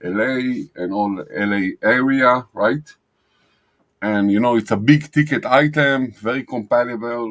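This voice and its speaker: On a very clean recording with a silent background, a man with a non-native accent speaks at a fairly slow pace, medium in pitch with ordinary pitch variation. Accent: noticeable foreign. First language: not English. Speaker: digital marketing agency owner. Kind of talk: screen-share tutorial. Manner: hesitant, many fillers.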